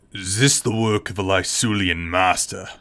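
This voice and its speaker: A man puts on a character voice that is raspy and fairly low in pitch. He speaks at a moderate pace. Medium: read story. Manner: curt, brusque.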